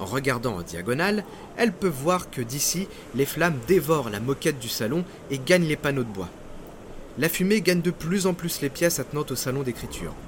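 A man's dramatic, fairly high voice with very wide pitch swings, fairly quick pace and long, frequent pauses. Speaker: podcast narrator, maritime history storyteller. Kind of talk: scripted true-crime disaster narration, storytelling. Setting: studio, solo recording. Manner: suspenseful, vivid, dramatic storyteller; measured, paced narration.

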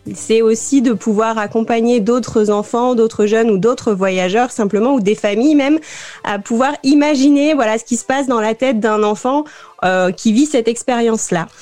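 In a normal speaking voice, a woman with a fairly high pitch and ordinary pitch variation talks at a moderate pace with very even loudness. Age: 20s. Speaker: youth information officer and children's podcast creator. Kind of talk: live radio interview.

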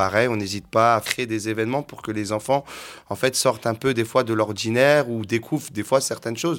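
In a very clean recording with a silent background, a man talks at a fairly quick pace with a medium pitch and fairly even intonation. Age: 30s. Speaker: youth football coach. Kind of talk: interview. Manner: halting.

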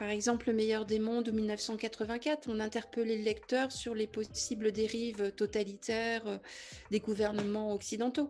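Fairly high in pitch, a woman speaks in a monotone, flat way. Her pace is fairly slow. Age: 50s. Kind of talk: interview.

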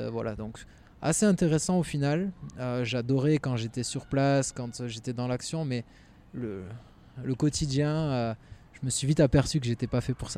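A man's dark, mellow voice at medium pitch, fairly slow with long, frequent pauses and ordinary pitch variation. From southwest France, Landes (Mont-de-Marsan). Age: 30s. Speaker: former pro footballer, sports business manager. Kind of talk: casual interview. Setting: at a sports field. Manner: hesitant, repeats words.

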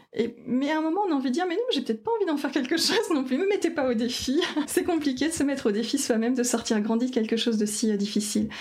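The speech comes at a very fast pace with lively intonation and very even loudness. Noticeable background noise is present. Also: woman. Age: 30s. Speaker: cancer patient, sustainability engineer. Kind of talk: testimony. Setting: at the host's home.

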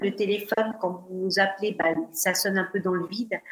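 This woman has a plain, everyday voice at a medium pitch. She speaks at a moderate pace with fairly even intonation. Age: 50s. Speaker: fashion influencer. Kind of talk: interview.

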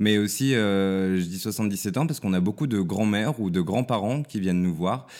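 A man speaks in a normal speaking voice, fairly low in pitch with ordinary pitch variation. His pace is moderate, and the recording is very clean with a silent background. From countryside near Lyon, France. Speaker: journalist and TV producer. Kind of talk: interview conversation.

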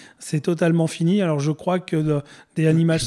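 Fairly even in intonation, a man talks at a fairly quick pace. His pitch is fairly high and his tone dark and mellow. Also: very clean recording, silent background. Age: 50s. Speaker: reptile breeder and business founder. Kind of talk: interview. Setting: studio.

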